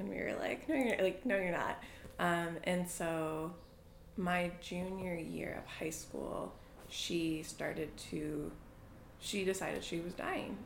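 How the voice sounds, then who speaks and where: A woman with an American accent talks at a very slow pace in a fairly low pitch. Her intonation is fairly even, and room echo is audible. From New England (Boston and New Hampshire). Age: 20s. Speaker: interviewee. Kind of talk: casual chat.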